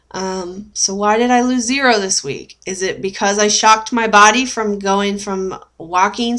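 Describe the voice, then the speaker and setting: The woman's pitch varies in an ordinary way. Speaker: weight-loss surgery vlogger. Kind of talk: casual vlog chat. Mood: puzzled, mildly frustrated. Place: home room. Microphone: webcam.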